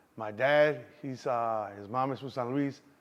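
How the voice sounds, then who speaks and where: Fairly slow and fairly even in intonation, a man talks at medium pitch with a slight Mexican accent. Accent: slight Mexican Spanish tinge. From Chicago, Southwest Side. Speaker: actor and car club founder. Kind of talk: interview. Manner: casual, filler-heavy.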